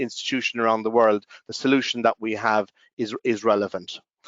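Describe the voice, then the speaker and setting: He speaks in an Irish accent. The voice is a man's. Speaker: company representative. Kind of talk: conference presentation. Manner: halting, many fillers.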